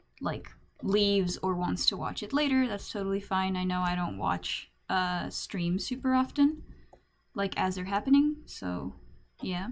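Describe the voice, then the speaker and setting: Over a silent background on a very clean recording, a woman speaks at a fairly slow pace. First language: not English. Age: young. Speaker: streamer. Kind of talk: casual chat. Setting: live stream.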